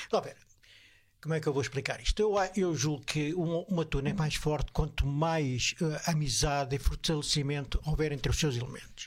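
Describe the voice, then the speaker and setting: A moderate pace carries a somewhat breathy voice. The recording is very clean, and the background is silent. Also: man, fairly high pitch for a man, ordinary pitch variation. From Portugal, Évora. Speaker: bus driver. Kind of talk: casual chat. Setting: studio.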